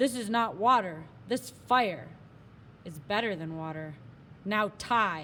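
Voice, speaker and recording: A woman's put-on character voice at medium pitch, fairly slow pace with long, frequent pauses, over clear background noise. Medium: read story. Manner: terse broken English.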